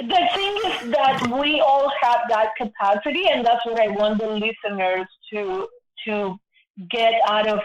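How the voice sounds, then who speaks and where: Fairly slow, fairly high-pitched female speech with ordinary pitch variation. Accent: Spanish. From Argentina, Buenos Aires. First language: Spanish. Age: 60s. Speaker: guest sharing personal story. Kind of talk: casual interview conversation.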